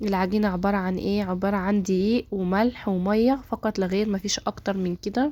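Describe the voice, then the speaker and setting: A woman's dark, mellow, medium-pitched voice, flat and monotone, on a very clean recording with a silent background. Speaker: cooking youtuber. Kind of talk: cooking tutorial.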